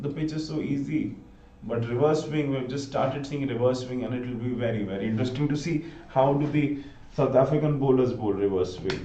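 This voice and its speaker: With an Indian accent, a man speaks with ordinary pitch variation and audible room echo. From north India (Gurgaon, Haryana). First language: Hindi. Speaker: live cricket commentator. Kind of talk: live commentary.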